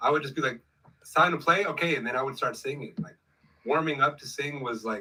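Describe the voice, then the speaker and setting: A man's animated, bright and sharp voice, fairly high in pitch, with ordinary pitch variation and a fairly quick pace. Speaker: musician and singer. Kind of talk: casual chat. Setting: livestream video call.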